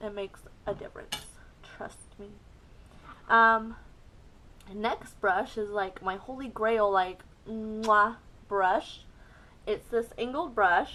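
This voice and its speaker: A woman's fairly high voice at a very slow pace, with long, frequent pauses, fairly even intonation, big swings in loudness and a bright, sharp tone. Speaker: beauty youtuber. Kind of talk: makeup tutorial. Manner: casual, frequent ums.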